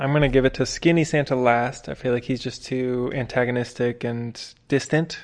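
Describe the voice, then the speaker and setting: An unremarkable speaking voice with fairly even intonation and a fairly quick pace over a quiet background. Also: man. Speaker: podcast co-host. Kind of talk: casual chat.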